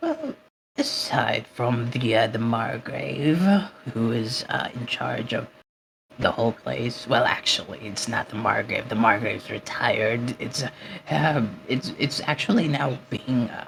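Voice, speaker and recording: A put-on character voice, low-to-middle in pitch, at a fairly slow pace. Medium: actual play. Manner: sly, salesy.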